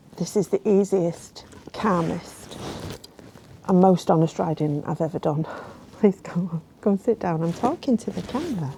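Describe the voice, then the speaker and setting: A woman with a Yorkshire accent at a moderate pace, ordinary pitch variation, long, frequent pauses and noticeable background noise. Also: fairly low pitch for a woman. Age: 60s. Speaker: motorcycle vlogger. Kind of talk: vlog monologue.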